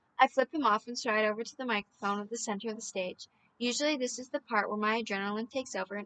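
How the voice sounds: This is a natural reading voice. It comes across exactly that way.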